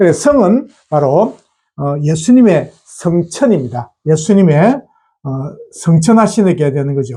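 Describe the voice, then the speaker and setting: Very slow and dark, mellow in tone, a man speaks at a high pitch. His pitch swings are very wide. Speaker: pastor. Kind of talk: bible teaching video. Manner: many filler sounds, hesitant.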